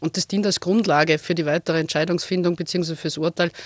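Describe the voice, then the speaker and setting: A woman talks at a very fast pace and fairly low pitch. Her intonation is monotone and flat, and the sound is dry and close with no echo. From Lower Austria, Wachau (Krems). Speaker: senior police officer. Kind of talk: radio interview.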